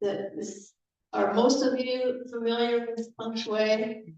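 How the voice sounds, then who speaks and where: Audible room echo surrounds a woman speaking very slowly at a fairly high pitch with fairly even intonation. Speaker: guest speaker at church service. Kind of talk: sermon.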